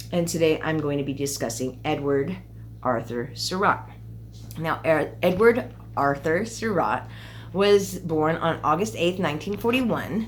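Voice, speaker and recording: Noticeable background noise under fairly slowly paced speech. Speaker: true crime YouTuber. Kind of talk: true crime storytelling. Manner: casual, conversational with fillers.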